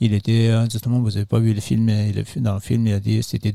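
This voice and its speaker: With a dark, mellow tone, a man talks at a moderate pace in a fairly low pitch with ordinary pitch variation. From Nepal, Solukhumbu (Everest region). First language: Sherpa (speaking French). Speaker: trail runner and trek organizer. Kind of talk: interview. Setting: festival. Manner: halting.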